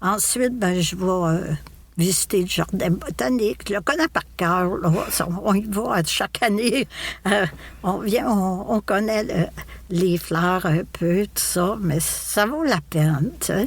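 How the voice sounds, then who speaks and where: At a very slow pace, a woman talks with medium pitch and very even loudness. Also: ordinary pitch variation. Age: 70s. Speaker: podcast guest, retiree. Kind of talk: casual interview conversation. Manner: halting, many repetitions and fillers.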